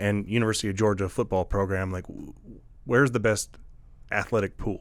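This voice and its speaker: Using a plain, everyday voice, a man talks at a fairly quick pace with a fairly low pitch and fairly even intonation. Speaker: podcast host, Army veteran. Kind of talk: interview question.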